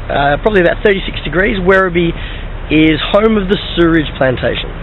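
Over noticeable background noise, a man with an Australian accent and high pitch speaks at a fairly quick pace with ordinary pitch variation and very even loudness. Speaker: vaudeville street performer. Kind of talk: casual talk to camera. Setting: outdoors. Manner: chatty, jokey.

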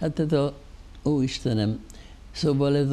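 A man speaks at a very slow pace. His dark, mellow tone carries ordinary pitch variation. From Hungary. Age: 80s+. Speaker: theatre financial adviser; guest. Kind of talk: interview. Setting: studio. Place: studio. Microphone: lapel.

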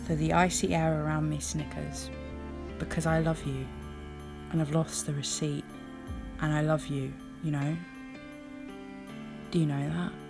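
Over music in the background, a woman talks at a moderate pace with long, frequent pauses. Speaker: poet. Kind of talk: poetry reading.

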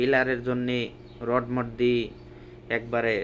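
This voice belongs to a man. It rests at a medium pitch. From Bangladesh, Pabna district. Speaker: migrant worker and vlogger. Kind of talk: walking vlog narration. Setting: outdoors, walking by roadside. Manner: casual colloquial dialect.

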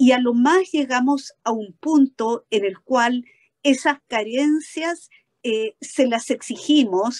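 A woman with a high voice speaks at a very slow pace with lively intonation against a quiet background. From Chile. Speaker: law professor; conference panelist commenting. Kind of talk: panel discussion. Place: office. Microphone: webcam.

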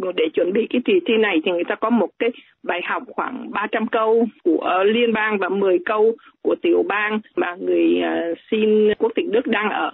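A plain, everyday voice from a woman, fairly high-pitched and fairly slow, with lively intonation. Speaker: doctor. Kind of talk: interview. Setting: phone call.

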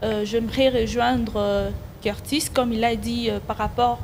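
At a fairly slow pace, a woman speaks over light background noise. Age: 20s. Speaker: fashion designer. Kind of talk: TV talk show. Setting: TV studio. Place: studio. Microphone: handheld.

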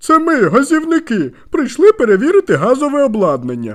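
The speaker uses a high-pitched put-on character voice at a fairly quick pace. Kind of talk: gruff.

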